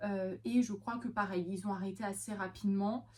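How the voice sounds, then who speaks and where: The woman's medium-pitched voice is somewhat breathy, with a dark, mellow tone and ordinary pitch variation. Her pace is moderate. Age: 20s. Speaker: vlogger and veterinary assistant. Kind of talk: casual vlog talk. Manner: hesitant, many fillers.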